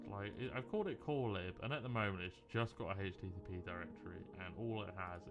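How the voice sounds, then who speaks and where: The speaker is soft-spoken, with lively intonation. Music plays in the background. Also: man. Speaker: software developer streamer. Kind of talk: live coding stream commentary. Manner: casual, rambling with fillers.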